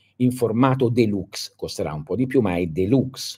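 Very wide pitch swings and vocal fry from a man, at a fairly slow pace. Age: 60s. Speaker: esoteric teacher. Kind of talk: live stream talk to followers. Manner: halting, many fillers. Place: home room. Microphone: phone near.

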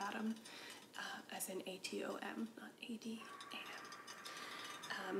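Whispering and soft-spoken, a woman talks over noticeable background noise. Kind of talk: casual vlog chat. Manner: soft ASMR whisper, rambling. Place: home room. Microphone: camera far.

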